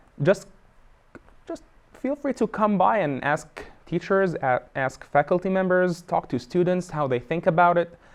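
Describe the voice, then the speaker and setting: A man's high voice, lively intonation, moderate pace. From Egypt. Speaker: photojournalist. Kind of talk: interview. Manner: halting, many fillers and repetitions.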